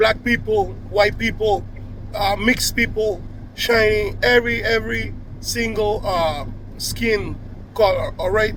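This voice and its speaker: A man talks at a fairly slow pace with a Spanish accent. There is noticeable background noise. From Cuba. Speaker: video blogger. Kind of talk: casual monologue to camera. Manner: halting, with many restarts and fillers.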